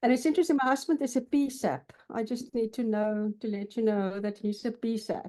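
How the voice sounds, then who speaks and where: With a South African accent, a woman speaks fairly quickly in a dark, mellow, fairly high voice with ordinary pitch variation. The background is quiet. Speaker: counselor. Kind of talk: interview. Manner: halting.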